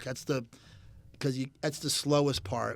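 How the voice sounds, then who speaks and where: A man talks with a Philadelphia accent. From Philadelphia area, Pennsylvania. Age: 60s. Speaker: custom motorcycle builder. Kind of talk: casual chat.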